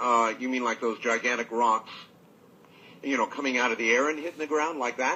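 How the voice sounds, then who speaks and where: At a moderate pace, a man speaks at a medium pitch with fairly even intonation and long, frequent pauses. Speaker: radio talk show host. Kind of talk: late-night radio call-in show. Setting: studio.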